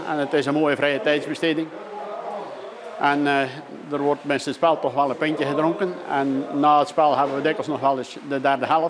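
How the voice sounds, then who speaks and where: Amid noticeable background noise, a man talks at a fairly high pitch with monotone, flat intonation. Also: moderate pace. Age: 60s. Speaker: krulbollen player, local expert. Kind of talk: interview. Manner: hesitant, many filler sounds.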